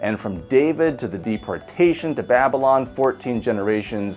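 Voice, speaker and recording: With a Midwestern American accent, a man speaks in very wide pitch swings while music plays in the background. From US Midwest. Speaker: pastor. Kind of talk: scripture reading.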